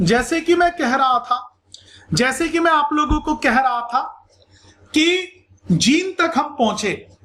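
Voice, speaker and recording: A man's extremely high-pitched voice with lively intonation. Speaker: school science teacher. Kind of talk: lecture. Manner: animated.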